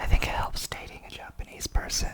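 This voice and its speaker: A man is whispering. Background noise is noticeable. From United States. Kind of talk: ASMR channel introduction. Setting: indoors at night, apartment. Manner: whispered.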